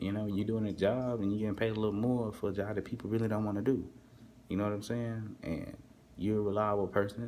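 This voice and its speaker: Very fast and flat in a monotone, a man with an American accent speaks at a fairly low pitch amid audible room echo. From Texas, US South. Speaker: overnight hotel worker and vlogger. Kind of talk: casual vlog monologue. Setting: hotel front desk at night, alone. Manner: casual, filler-heavy, repetitive.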